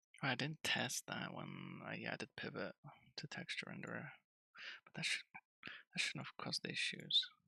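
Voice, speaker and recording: Soft-spoken and whispering, the voice comes through dry and close with no echo. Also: man, moderate pace, big swings in loudness. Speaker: game developer streamer. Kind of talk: live coding stream. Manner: soft-spoken, near whispering. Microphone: too quiet, mic gain at max.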